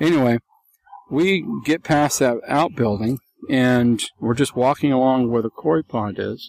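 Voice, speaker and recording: A man has an unremarkable speaking voice at a medium pitch with ordinary pitch variation. The sound is dry and close, with no echo. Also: fairly slow pace. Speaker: Bigfoot witness. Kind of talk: interview recounting sightings.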